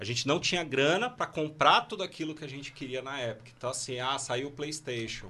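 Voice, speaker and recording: The man's tone is bright and sharp, with ordinary pitch variation over a quiet background. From Brazil, São Paulo (Guarulhos). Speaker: founder of an online game-development school. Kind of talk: casual chat.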